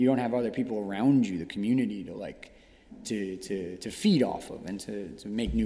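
With an American accent, a man talks at a fairly quick pace in a fairly low pitch and a dark, mellow tone, using lively intonation and big swings in loudness amid audible room echo. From New York City. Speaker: fine art painter and teacher. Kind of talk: casual chat. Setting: art studio gallery. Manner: halting, many fillers.

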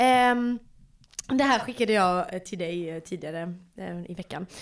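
In a very clean recording with a silent background, a woman speaks in an ordinary speaking voice with ordinary pitch variation. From Malmö, Sweden. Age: 20s. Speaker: podcast host. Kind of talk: casual chat.

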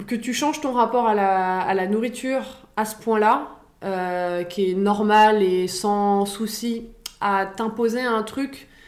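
A woman with a fairly high voice speaks at a very slow pace. Her intonation is fairly even, and room echo is audible. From Paris, France. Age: 30s. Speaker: fitness coach. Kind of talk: casual interview.

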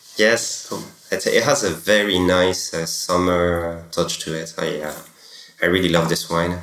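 Audible room echo surrounds a man's very deep, low-pitched voice. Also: ordinary pitch variation. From France. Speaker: champagne export manager. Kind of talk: interview.

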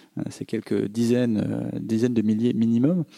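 With a medium pitch, a man delivers his words at a fairly slow pace. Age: 30s. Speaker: startup founder. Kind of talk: talk with audience Q&A. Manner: hesitant, many fillers.

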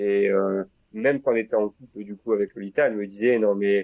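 At a fairly low pitch and moderate pace, a man speaks with fairly even intonation in a dry, close sound with no echo. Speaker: law student. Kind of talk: casual chat.

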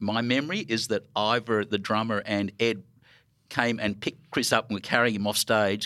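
Bright and sharp in tone, this voice with an Australian accent moves at a moderate pace with fairly even intonation on a very clean recording with a silent background. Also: man. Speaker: record label founder and record store owner. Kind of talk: live panel conversation. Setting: stage with audience.

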